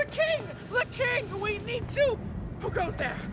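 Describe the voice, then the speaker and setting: A put-on character voice pitched extremely high, moving at a fairly slow pace. Loud background noise runs underneath. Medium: machinima. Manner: shouting, frantic.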